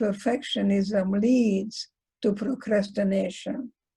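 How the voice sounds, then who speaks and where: In a Hungarian accent, a woman speaks in a fairly high, dark and mellow voice that is somewhat breathy, with fairly even intonation. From Hungary. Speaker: psychologist. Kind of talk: lecture.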